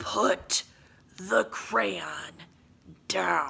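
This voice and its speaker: This is a put-on character voice with a low pitch. It sounds raspy and growling. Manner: menacing.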